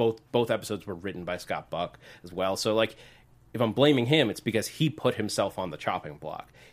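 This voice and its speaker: Talking at a fairly quick pace with lively intonation, a man with an unremarkable speaking voice and a fairly low pitch shows big swings in loudness, on a very clean recording with a silent background. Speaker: co-host. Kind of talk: casual chat.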